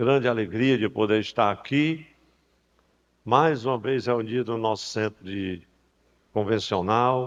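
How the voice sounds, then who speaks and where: Here a man talks very slowly at a medium pitch. His pitch varies in an ordinary way. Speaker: pastor. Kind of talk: sermon. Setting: church convention with PA system. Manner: soft-spoken.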